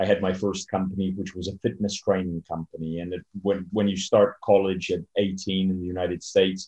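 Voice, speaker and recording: The man's pitch is fairly low and his intonation monotone and flat. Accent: English. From Poland, then USA from age six. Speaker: entrepreneur and author. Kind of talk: interview. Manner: hesitant, many fillers.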